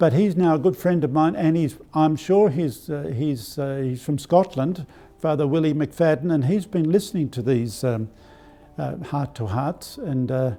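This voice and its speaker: The speaker has an Australian accent and a moderate pace. Noticeable background noise is present. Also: man, fairly high pitch for a man, ordinary pitch variation. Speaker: archbishop. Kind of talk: spiritual talk. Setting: live stream. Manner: halting.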